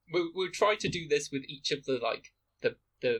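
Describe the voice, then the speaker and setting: This man has a British accent and speaks at a moderate pace with ordinary pitch variation. The sound is dry and close, with no echo. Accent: very British, Queen's English. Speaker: podcast co-host. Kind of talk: casual chat. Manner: proper, posh pronunciation.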